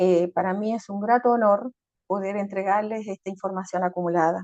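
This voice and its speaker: A woman speaks in an Andean accent with monotone, flat intonation. The sound is dry and close with no echo. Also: medium pitch for a woman, moderate pace. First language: Aymara (speaking Spanish). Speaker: intercultural facilitator. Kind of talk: lecture.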